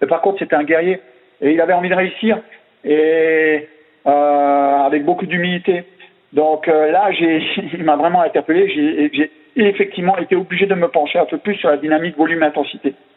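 A man speaks with an Alsatian accent at a high pitch. His intonation is fairly even. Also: moderate pace. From Alsace, France. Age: 50s. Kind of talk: interview. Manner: hesitant, many repetitions. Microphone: unstable network connection.

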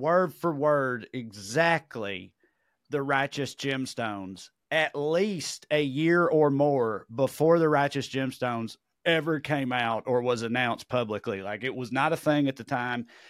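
Lively intonation in a Southern US accent at a fairly slow pace, in a very clean recording with a silent background. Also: man. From Tennessee. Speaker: comedian and podcast co-host. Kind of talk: casual chat.

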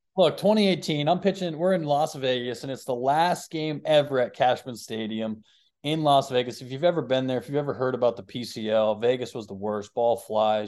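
Against a quiet background, a man with medium pitch talks in a plain, everyday voice at a moderate pace with ordinary pitch variation. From Boston, US. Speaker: pro baseball pitcher. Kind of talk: casual chat.

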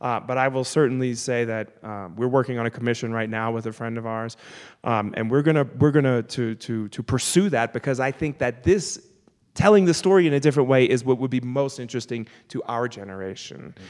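Recorded very cleanly against a silent background, a man with an American accent has a normal speaking voice at medium pitch, ordinary pitch variation and a fairly quick pace. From US South, New Orleans. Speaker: opera singer. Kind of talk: live panel discussion. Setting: church with live audience.

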